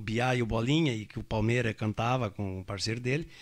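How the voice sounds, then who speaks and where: A bright, sharp tone at a fairly quick pace in a very clean recording with a silent background. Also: man. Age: 70s. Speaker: radio host. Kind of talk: casual chat. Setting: at a private home. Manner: halting.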